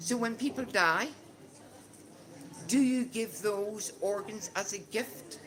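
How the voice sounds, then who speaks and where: In a Northern Irish accent, a woman speaks very slowly at a medium pitch with ordinary pitch variation. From Northern Ireland. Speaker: conversation group facilitator. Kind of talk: discussion leading for English learners. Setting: casual gathering with audience. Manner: slow, clear.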